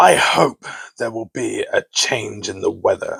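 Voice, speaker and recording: A man's gruff, put-on character voice at a fairly slow pace. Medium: read story.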